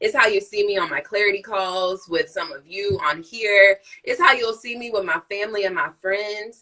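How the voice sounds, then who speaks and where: With a bright, sharp, animated tone, a woman speaks with ordinary pitch variation and big swings in loudness. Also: moderate pace, hardly any pauses. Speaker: nurse practitioner and live-stream host. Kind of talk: casual chat.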